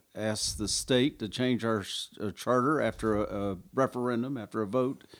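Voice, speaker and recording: A man with a Southern US accent, medium pitch, ordinary pitch variation and a moderate pace, on a very clean recording with a silent background. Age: 60s. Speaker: small-town mayor. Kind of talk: casual interview.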